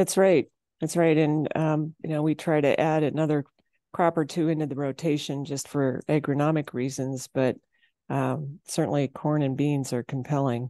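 A woman with an Upper Midwest accent speaks in a very deep, low pitch with a dark, mellow tone. Her intonation is monotone and flat, the sound dry and close with no echo, over a quiet background. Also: moderate pace. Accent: Upper Midwest American. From South Dakota, Kimball. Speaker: farmer, rancher and entrepreneur. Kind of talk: interview.

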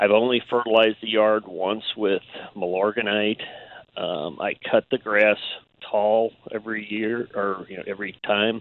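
Speaking at a fairly slow pace, a man with an American accent has a fairly low pitch. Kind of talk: casual chat. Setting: phone call.

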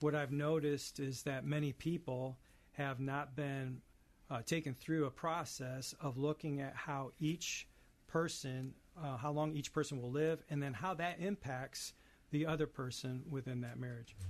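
A plain, everyday voice moves at a fairly slow pace with fairly even intonation over a quiet background. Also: man, fairly high pitch for a man. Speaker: elder care financial planner. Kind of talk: advice segment.

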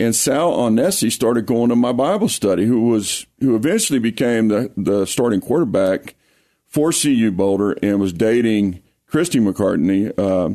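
In a Louisiana accent, a man with a medium pitch and a dark, mellow tone speaks at a moderate pace with lively intonation and very even loudness. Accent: Louisiana Southern accent, noticeable. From US South, Lake Charles, Louisiana (Cajun). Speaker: pastor and high school football coach. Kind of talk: interview testimony. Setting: radio studio.

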